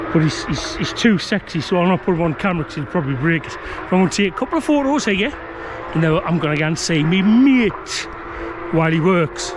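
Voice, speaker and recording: Over noticeable background noise, a man with a northern English accent and a high pitch rattles along at a very fast pace with lively intonation. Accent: regional northern English accent, noticeable. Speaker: motorsport vlogger and magazine photographer. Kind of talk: casual vlog to camera. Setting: outdoors at a race circuit. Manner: chatty, informal.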